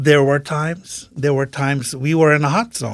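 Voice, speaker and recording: A man with a non-native accent and a fairly high pitch, on a very clean recording with a silent background. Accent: foreign. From Saudi Arabia, Iranian-Pakistani family. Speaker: military interpreter and businessman. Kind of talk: interview conversation.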